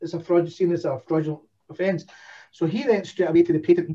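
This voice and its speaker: A man with a Scottish accent, high pitched yet dark and mellow in tone, at a fairly quick pace. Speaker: domain investor. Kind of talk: casual chat.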